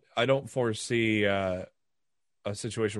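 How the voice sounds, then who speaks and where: A man with a normal speaking voice and fairly low pitch talks at a moderate pace. The recording is very clean, with a silent background. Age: 40s. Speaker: wrestling podcast host. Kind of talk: casual chat.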